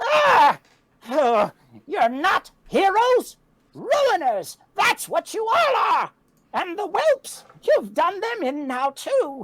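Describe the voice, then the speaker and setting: This put-on character voice cackles at an extremely high pitch, with very wide pitch swings. It moves at a very slow pace. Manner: perturbed, cackling.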